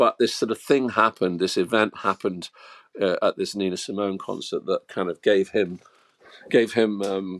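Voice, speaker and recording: A man speaks at a moderate pace with an English accent, his voice dry and close with no echo. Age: 60s. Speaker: musician and author. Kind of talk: interview. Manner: halting, many repetitions.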